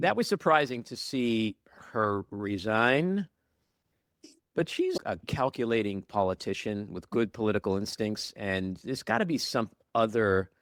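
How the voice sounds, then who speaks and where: A man with an ordinary speaking voice talks at a fairly slow pace with ordinary pitch variation, the sound dry and close with no echo. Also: medium pitch for a man. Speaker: podcast host. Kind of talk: interview questions.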